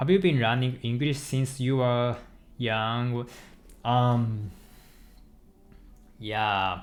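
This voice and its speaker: With a Japanese accent, a man speaks at a very slow pace and medium pitch, with ordinary pitch variation. Audible room echo surrounds his voice. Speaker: software developer streaming live coding. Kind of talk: casual chat with live stream viewers. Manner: halting, with frequent self-corrections.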